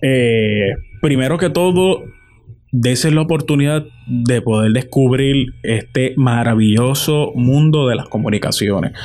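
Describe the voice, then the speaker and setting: This man has a plain, everyday voice at a medium pitch. His pitch varies in an ordinary way and his loudness stays very even. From Puerto Rico, Morovis. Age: 20s. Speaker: journalist. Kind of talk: interview.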